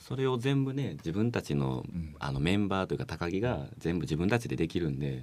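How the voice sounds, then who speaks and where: With noticeable background noise behind him, a man with a very deep, low pitch talks at a fairly quick pace, his pitch swinging very widely. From Japan, Osaka with school years in Ehime. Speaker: musician, bassist. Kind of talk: casual interview chat. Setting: radio studio.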